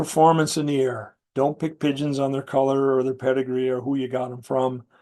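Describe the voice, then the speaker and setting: Against a quiet background, a man talks with an American accent. His voice is fairly high in pitch, with a dark, mellow tone. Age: 60s. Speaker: pigeon competition judge. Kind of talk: interview. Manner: casual, conversational with fillers.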